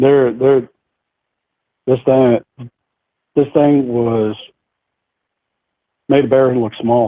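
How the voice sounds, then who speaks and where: In an American accent, a man speaks very slowly at a medium pitch, with very even loudness, fairly even intonation and long, frequent pauses. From central New York. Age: 60s. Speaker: eyewitness sharing encounter. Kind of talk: interview testimony.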